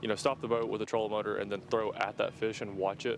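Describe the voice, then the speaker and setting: Over background music, a man with a Southern US accent talks at a very fast pace, with a medium pitch and ordinary pitch variation. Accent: US South. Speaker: fishing tournament commentator. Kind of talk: live commentary. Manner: loud.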